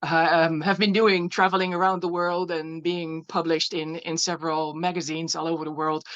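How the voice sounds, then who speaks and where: Here a woman speaks at a fairly low pitch. Her intonation is monotone and flat. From Netherlands. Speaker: glass artist. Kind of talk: slide presentation. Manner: halting, many fillers and repeats.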